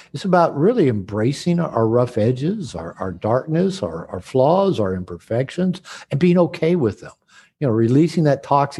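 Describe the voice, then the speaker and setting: A man with an American accent, a dark, mellow tone, a somewhat breathy voice and a fairly quick pace. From United States. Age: 60s. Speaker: author and therapist. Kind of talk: interview conversation. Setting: video call. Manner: hesitant with frequent word repetitions.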